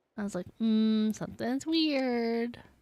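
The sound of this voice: A woman speaks at a slow pace with a fairly high pitch, a slightly mellow tone and ordinary pitch variation.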